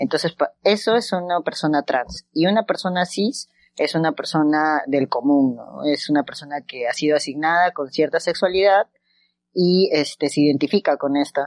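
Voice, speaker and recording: A woman's very deep, low voice over a quiet background. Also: ordinary pitch variation, moderate pace. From Peru, Huancayo. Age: 30s. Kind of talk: interview.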